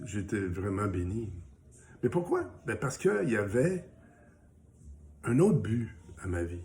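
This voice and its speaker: A man speaks at a very slow pace, his tone dark, mellow and somewhat breathy. His intonation is lively, and room echo is audible. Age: 60s. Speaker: small business owner and social media personality sharing recovery story. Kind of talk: casual motivational video message. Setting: home, morning coffee.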